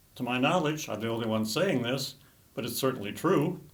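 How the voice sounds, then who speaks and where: With lively intonation, a man talks at a moderate pace and a fairly high pitch. Audible room echo surrounds his voice. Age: 80s+. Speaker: political commentator. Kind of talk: political commentary monologue.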